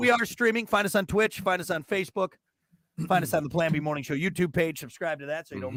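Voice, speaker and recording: A man is shouting loudly at a very fast pace. His pitch is high and his intonation lively. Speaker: morning show host. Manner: sounds like yelling; loud, sounds like yelling.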